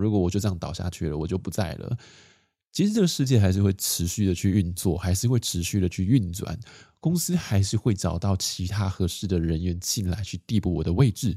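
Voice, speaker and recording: Against a silent background in a very clean recording, a man speaks in a calm, relaxed tone, dark and mellow, somewhat breathy and very deep and low, with ordinary pitch variation. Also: fairly quick pace. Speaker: podcast host on minimalist living. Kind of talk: casual solo chat. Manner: calm, relaxed pace with fillers.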